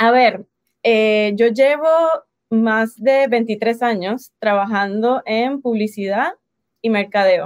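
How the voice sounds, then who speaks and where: With ordinary pitch variation, a woman speaks at a fairly high pitch and a very slow pace. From Puerto Rico. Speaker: life and business coach. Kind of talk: interview.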